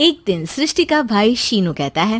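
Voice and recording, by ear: At a moderate pace, a woman speaks in a fairly high pitch with big pitch swings.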